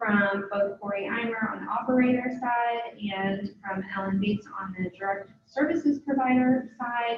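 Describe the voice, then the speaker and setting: A woman's unremarkable speaking voice, fairly high in pitch with ordinary variation, at a moderate pace. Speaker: workforce board staff presenter. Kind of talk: meeting report. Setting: conference call.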